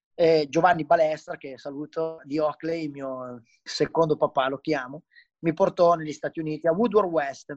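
At a fairly high pitch, a man speaks at a fairly slow pace with ordinary pitch variation, the sound dry and close with no echo. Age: 30s. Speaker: professional BMX freestyle rider. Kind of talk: casual interview chat.

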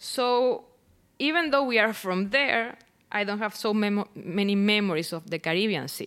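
In a Venezuelan accent, a woman speaks at a medium pitch with lively intonation. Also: moderate pace. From Venezuela (Barquisimeto). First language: Spanish. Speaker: poet and artist. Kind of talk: casual interview conversation. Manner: hesitant, halting.

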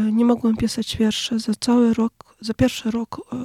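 In a Ukrainian accent, a woman speaks at a fairly slow pace with a fairly high pitch, a somewhat breathy, dark, mellow tone and monotone, flat intonation, in a dry, close sound with no echo. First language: Ukrainian (speaking Polish). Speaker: poet. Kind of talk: interview.

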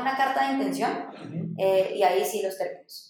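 Audible room echo around a woman's voice, medium in pitch and ordinary in pitch variation. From Dominican Republic (born in Bogotá, Colombia). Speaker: startup founder. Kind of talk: interview.

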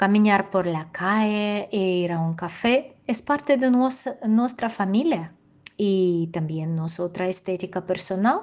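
With a Russian accent, a woman speaks very slowly at a medium pitch, her intonation lively. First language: Russian (speaking Spanish). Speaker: dog groomer. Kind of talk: interview answers, partly read. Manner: careful, non-native pace.

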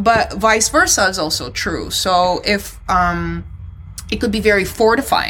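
A woman speaks at medium pitch with a bright, sharp tone. Her voice has vocal fry and ordinary pitch variation. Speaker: podcast co-host. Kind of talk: casual banter. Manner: animated, irreverent.

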